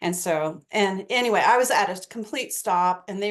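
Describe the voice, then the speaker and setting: A woman with an ordinary speaking voice talks in an American accent at a medium pitch. Her intonation is lively and her pace fairly quick. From eastern United States. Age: 60s. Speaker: astrologer. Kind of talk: casual interview chat.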